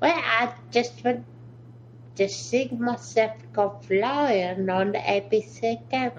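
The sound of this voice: A put-on character voice in a British accent swings very widely in pitch at a very slow pace. Background noise is clearly heard. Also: female-sounding voice, medium pitch for a woman.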